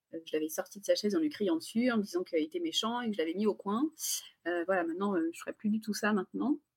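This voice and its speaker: A somewhat breathy woman's voice racing at a very fast pace, full of very wide pitch swings, in a dry, close sound with no echo. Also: medium pitch for a woman. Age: 40s. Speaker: parent of three. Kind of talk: testimony. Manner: hesitant.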